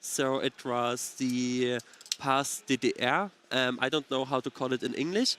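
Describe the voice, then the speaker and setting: A man with a German accent talks at a fairly slow pace, his pitch medium. The sound is dry and close, with no echo. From eastern Germany (Dresden area). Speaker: card game commentator. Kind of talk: casual chat. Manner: halting, many fillers.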